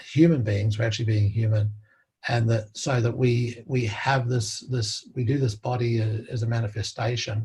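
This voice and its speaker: In an Australian accent, a man speaks in a dark, mellow, somewhat breathy tone with flat, monotone intonation. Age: 70s. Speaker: interviewee, doctor. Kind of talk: interview conversation. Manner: halting with many fillers and repetitions.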